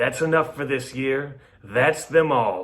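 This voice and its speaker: Raspy and wheezy, a man puts on a character voice, fairly high-pitched and at a fairly slow pace. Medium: read story. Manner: wheezing, sly.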